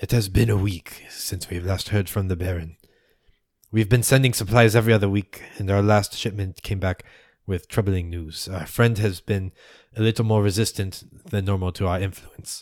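A man uses a gruff, put-on character voice at a fairly low pitch and a moderate pace. The recording is very clean, with a silent background. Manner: angry, businesslike.

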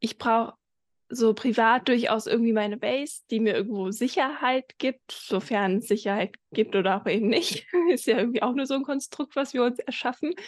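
In a dry, close recording with no echo, a woman with a plain, everyday voice speaks at a fairly high pitch with ordinary pitch variation. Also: moderate pace. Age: 20s. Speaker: entrepreneur and business mentor. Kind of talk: interview.

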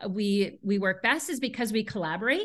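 A plain, everyday voice, a woman with an American accent talks at a moderate pace and medium pitch with lively intonation over a quiet background. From US Pacific Northwest, Seattle. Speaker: spa director, former massage therapist. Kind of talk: casual interview chat. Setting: remote call from home.

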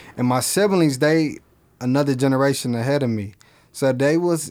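With an American accent, a man speaks in a plain, everyday voice at a fairly high pitch. His pace is moderate and his pitch varies in an ordinary way. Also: very even loudness. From Flint, Michigan, US. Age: 30s. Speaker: clothing brand founder, former rapper. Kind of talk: casual interview. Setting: studio.

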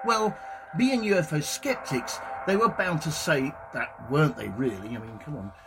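A man's fairly high voice at a moderate pace, with very wide pitch swings and big swings in loudness, over music in the background. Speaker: podcast host, psychic medium and ufologist. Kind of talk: ufo documentary narration. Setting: community radio show. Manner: measured, storytelling narration; humorous, lightly comic.

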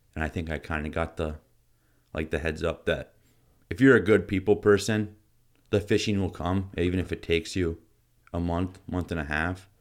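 A man with an American accent speaks in a very deep, low pitch at a moderate pace, with ordinary pitch variation and long, frequent pauses, in a very clean recording with a silent background. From Michigan and North Dakota. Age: 20s. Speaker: hunting and fishing guide. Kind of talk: casual interview.

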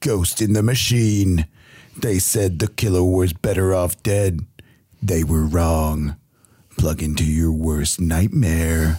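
Using a put-on character voice, a man speaks very deep and low at a fairly slow pace, with ordinary pitch variation and very even loudness. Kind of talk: trailer narration. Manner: dramatic, ominous.

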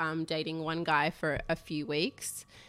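Speaking with an Australian accent, a woman has a fairly low pitch and a bright, sharp tone. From Sydney, Northern Beaches (Manly). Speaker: documentary producer. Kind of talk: casual chat. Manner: soft-spoken.

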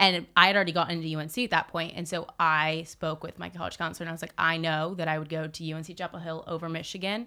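On a very clean recording with a silent background, a woman speaks very fast in a bright, sharp, monotone delivery at a fairly low pitch, hardly pausing while her loudness swings widely. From Southern California (Newport Beach). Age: young. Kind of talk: casual interview chat.

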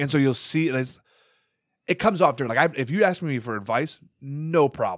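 A man with an American accent and an unremarkable speaking voice, fairly high-pitched, with lively intonation at a fairly quick pace, in a very clean recording with a silent background. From US Midwest, Wisconsin. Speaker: stand-up comedian, military service member. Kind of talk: casual chat.

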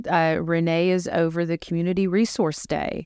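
In an ordinary speaking voice, a woman talks at a moderate pace and a fairly low pitch. The recording is very clean, with a silent background. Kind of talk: casual chat.

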